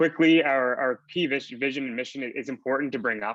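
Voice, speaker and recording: The speech goes at a very fast pace with fairly even intonation. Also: man. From Atlantic Canada. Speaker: startup founder presenting. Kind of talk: pitch presentation.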